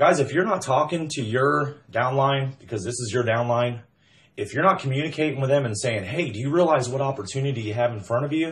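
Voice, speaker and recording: With ordinary pitch variation and a medium pitch, the man delivers his words at a fairly quick pace. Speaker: MLM recruiter. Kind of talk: sales pitch. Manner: loud; animated.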